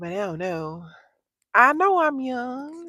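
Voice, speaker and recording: In a dry, close recording with no echo, a woman with an American accent talks at a very slow pace with lively intonation. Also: very clean recording, silent background. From Texas. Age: 30s. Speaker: content creator. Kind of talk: livestream chat. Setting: in a car.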